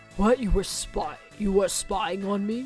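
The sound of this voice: A put-on character voice comes through at a fairly high pitch. Clear music plays in the background. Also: moderate pace.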